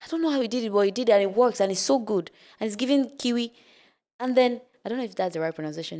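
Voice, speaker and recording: In a Nigerian accent, a woman speaks at a very fast pace with lively intonation and a dark, mellow tone on a very clean recording with a silent background. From northern Nigeria. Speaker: spoken word poet. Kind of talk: podcast interview.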